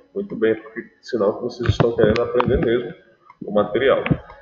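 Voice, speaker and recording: Audible room echo surrounds the voice. It belongs to a man. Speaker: math teacher. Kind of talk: online class lecture. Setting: live online class. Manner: soft-spoken.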